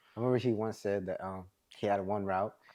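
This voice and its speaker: A man with an American accent, a fairly low pitch, a dark, mellow tone and monotone, flat intonation. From Maryland, US. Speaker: podcast host. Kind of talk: casual chat.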